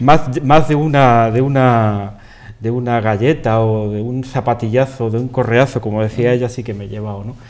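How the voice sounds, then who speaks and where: A man speaks at a medium pitch and a moderate pace, with ordinary pitch variation. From Andalusia, Spain (Cantillana, Seville). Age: 50s. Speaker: interview guest. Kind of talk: interview. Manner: halting, many repetitions.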